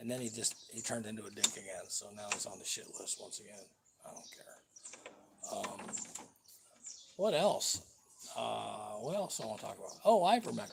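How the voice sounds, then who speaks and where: A man with an American accent talks at a moderate pace, his loudness swinging a lot. Noticeable background noise runs under the recording. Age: 70s. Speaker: vlogger. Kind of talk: casual live-stream rant. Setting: home live stream.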